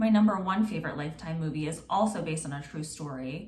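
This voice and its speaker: The speech goes at a fairly quick pace with ordinary pitch variation, noticeable background noise and audible room echo. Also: woman. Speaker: true crime podcaster. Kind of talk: true crime storytelling. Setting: home recording, on video and podcast. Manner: casual, chatty.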